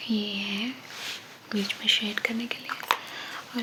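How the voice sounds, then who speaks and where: Over noticeable background noise, a woman whispers in a soothing tone. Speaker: ASMR creator. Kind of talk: ASMR roleplay, friendly talk to the listener. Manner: soft-spoken, soothing.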